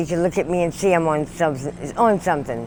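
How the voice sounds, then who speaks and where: The background is silent, and the recording is very clean. A woman speaks in an American accent. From Maryland, US. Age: 60s. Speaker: homeless street sex worker. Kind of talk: street interview. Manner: halting.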